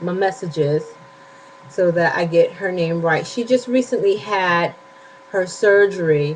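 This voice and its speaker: Through noticeable background noise, a woman at medium pitch talks fairly slowly with ordinary pitch variation and long, frequent pauses. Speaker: weight loss surgery vlogger. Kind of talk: casual vlog update. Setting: home bedroom.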